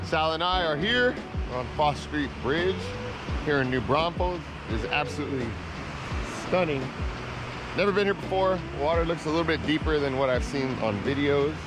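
Long, frequent pauses break up speech at a moderate pace, recorded dry with no echo and with noticeable background noise. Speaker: fishing vlogger. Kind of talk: casual vlog chat. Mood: enthusiastic. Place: waterside. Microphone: phone near.

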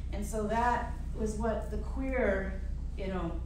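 A woman speaks with audible room echo. Noticeable background noise is present. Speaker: featured poet. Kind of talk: panel moderation and personal storytelling. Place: hall. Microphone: camera far.

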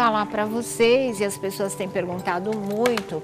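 Loud music plays in the background behind a woman. She talks at a fairly slow pace. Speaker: TV talk show host. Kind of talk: TV talk show presentation. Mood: concerned, somber news. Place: studio.

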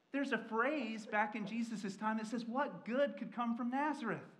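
With an American accent, a man talks at a moderate pace in an extremely high pitch, his fairly bright tone showing ordinary pitch variation amid strong room echo.

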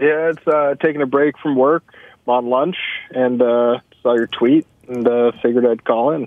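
In a dry recording with no echo and a quiet background, a man with a normal speaking voice talks at a moderate pace, his medium pitch following a fairly even intonation. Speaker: timeshare salesman, caller. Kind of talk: casual chat. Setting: phone call. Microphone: phone line.

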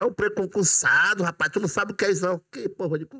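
A high-pitched man's voice, bright and sharp in tone, with lively intonation at a fairly quick pace over a quiet background. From Brazil, Maranhão (Imperatriz); Maranhão, Brazil. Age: 50s. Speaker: police sergeant; podcast guest. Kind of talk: casual interview chat. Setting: studio. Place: studio. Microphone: studio mic.

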